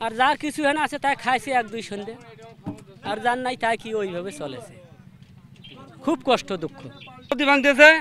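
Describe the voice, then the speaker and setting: A man's raised, projected voice at an extremely high pitch, with ordinary pitch variation, big swings in loudness, dry sound with no echo and light background noise. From northern Bangladesh. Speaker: river erosion victim. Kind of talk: interview testimony. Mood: distressed, lamenting hardship. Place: waterside.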